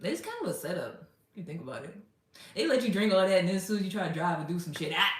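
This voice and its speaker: Animated and very fast, a woman speaks. Room echo can be heard. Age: 30s. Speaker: livestreamer. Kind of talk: casual livestream chat.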